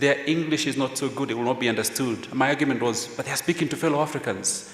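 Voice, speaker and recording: A man with a Kenyan accent and ordinary pitch variation, over noticeable background noise. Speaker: veteran journalist, former editor. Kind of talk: panel discussion.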